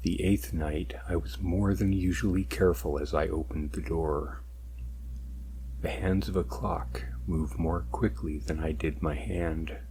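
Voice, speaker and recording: With vocal fry and a very deep, low pitch, a man talks at a fairly slow pace with ordinary pitch variation. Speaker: ASMR narrator. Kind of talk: read story, first-person narration.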